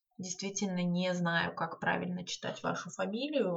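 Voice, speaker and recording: Over noticeable background noise, a woman talks at a moderate pace. Her pitch is medium, with ordinary variation. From Saint Petersburg, Russia. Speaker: podcast host, book blogger. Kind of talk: casual solo monologue. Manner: hesitant with filler words.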